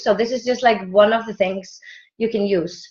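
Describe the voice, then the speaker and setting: A woman speaks with an Icelandic accent. Her pace is fairly slow. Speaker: team member presenter. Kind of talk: online training presentation. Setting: video call. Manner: halting, hesitant.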